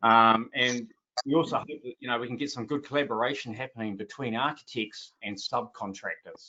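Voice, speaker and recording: This man with a New Zealand accent speaks at a fairly quick pace. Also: medium pitch for a man, ordinary pitch variation. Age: 60s. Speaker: roofing business owner and panelist. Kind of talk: webinar panel presentation. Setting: online webinar. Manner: hesitant, many filler sounds.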